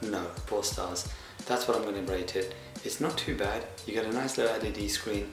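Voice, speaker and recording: A man with a fairly low pitch talks at a moderate pace, and the room echo is audible. Music plays in the background. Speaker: product reviewer. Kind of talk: product review talk.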